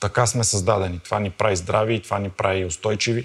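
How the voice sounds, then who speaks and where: A man's fairly low voice, somewhat breathy, at a fairly quick pace with fairly even intonation. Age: 30s. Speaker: fitness coach. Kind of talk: interview and fitness testing. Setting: gym.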